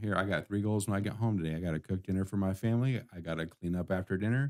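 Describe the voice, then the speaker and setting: A soft-spoken voice with a dark, mellow tone, fairly even intonation and a very fast pace. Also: man. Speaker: IT support business owner and live stream host. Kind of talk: casual solo live stream talk. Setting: live stream in office studio. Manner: soft-spoken, talking too low.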